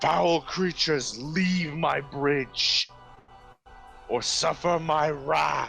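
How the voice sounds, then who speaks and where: Faint music sits in the background as a man in a put-on character voice speaks at a very slow pace with fairly high pitch. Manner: commanding, threatening.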